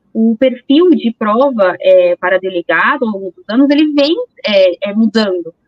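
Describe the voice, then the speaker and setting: A woman in a São Paulo accent, fairly high in pitch, with big swings in loudness. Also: lively intonation, fairly slow pace. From São Paulo, Brazil. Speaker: police chief. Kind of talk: interview.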